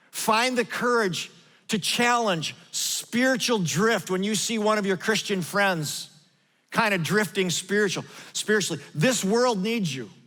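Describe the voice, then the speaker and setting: In a raised, projected voice, a man speaks fairly slowly with a bright, sharp tone and high pitch, his pitch varying in an ordinary way, on a very clean recording with a silent background. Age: 60s. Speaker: pastor. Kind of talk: sermon. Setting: church.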